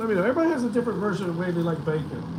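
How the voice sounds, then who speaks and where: There is audible room echo and noticeable background noise as a man talks with an American accent. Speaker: vlogger. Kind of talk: live stream chat. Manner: casual, halting.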